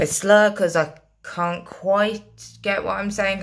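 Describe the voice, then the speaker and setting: A woman's flat, monotone delivery comes through with noticeable background noise behind it. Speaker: vlogger with a brain injury. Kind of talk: personal vlog monologue. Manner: slurred at times.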